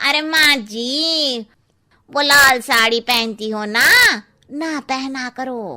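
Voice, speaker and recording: In a cartoonish character voice, a woman speaks very slowly at a high pitch with ordinary pitch variation. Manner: cheeky, gossipy.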